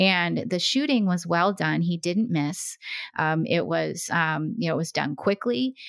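Speaking slowly-ish in an American accent, a woman has an unremarkable speaking voice at fairly low pitch. Her intonation is lively, and her pace fairly slow. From small-town Oregon. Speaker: retired FBI profiler. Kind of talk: interview.

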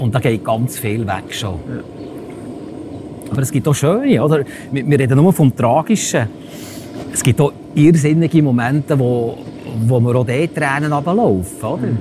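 A man speaks at a fairly slow pace in a Bernese accent, with a medium pitch and ordinary pitch variation. Noticeable background noise is present. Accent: Bernese Swiss German. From Switzerland, Bernese Oberland near Thun. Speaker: paramedic. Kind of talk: casual interview.

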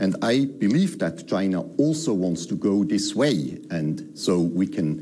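A man's fairly low voice with very wide pitch swings, audible room echo and noticeable background noise. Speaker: diplomat. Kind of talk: interview. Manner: hesitant, many fillers.

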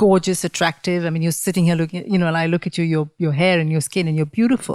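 Very fast speech comes from a woman with a fairly low pitch and fairly even intonation. The sound is dry and close, with no echo. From India. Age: 40s. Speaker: podcast host. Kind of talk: interview. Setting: in person at guest's dining table.

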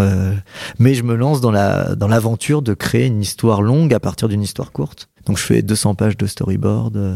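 Speaking at a moderate pace, a man uses a fairly low pitch and a dark, mellow tone with ordinary pitch variation. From central France. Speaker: comic book author. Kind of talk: casual chat. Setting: live broadcast.

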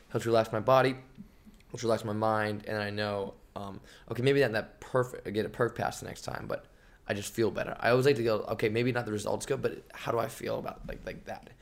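Speaking at a very fast pace, a man makes big swings in loudness. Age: 20s. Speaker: podcast host. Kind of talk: casual chat. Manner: animated.

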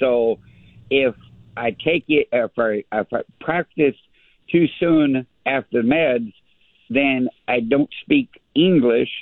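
A man speaks at a very slow pace and a fairly high pitch, with ordinary pitch variation. Long, frequent pauses break up his speech. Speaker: radio colleague recovering from stroke. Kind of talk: casual chat. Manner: slow, halting speech.

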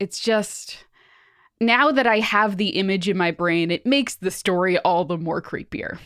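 A woman's medium-pitched, a plain, everyday voice, with ordinary pitch variation and a moderate pace, on a very clean recording against a silent background. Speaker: podcast host. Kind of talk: casual chat.

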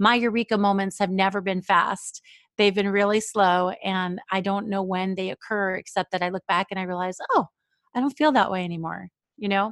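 An ordinary speaking voice with an American accent moves at a moderate pace with fairly even intonation, sounding dry and close with no echo on a very clean recording with a silent background. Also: woman. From New York. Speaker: writer and podcast host. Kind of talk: interview.

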